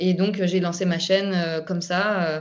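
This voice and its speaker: A woman's medium-pitched voice stays monotone and flat throughout. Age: 30s. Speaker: YouTuber sharing health recovery story. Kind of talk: testimony.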